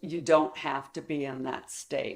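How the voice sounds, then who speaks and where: A woman speaks at a fairly slow pace in a flat, monotone delivery. Noticeable background noise sits behind her. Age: 70s. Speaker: patient giving testimonial. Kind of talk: testimony.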